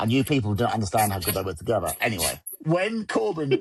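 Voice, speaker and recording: In an English accent, a medium-pitched man talks at a very fast pace, his animated, somewhat breathy voice making very wide pitch swings. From England. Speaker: wrestling podcast host. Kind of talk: casual chat.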